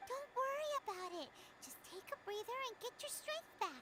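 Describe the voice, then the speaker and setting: In a put-on character voice, the speaker squeaks at an extremely high pitch while keeping a moderate pace. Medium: video game. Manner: casual, friendly.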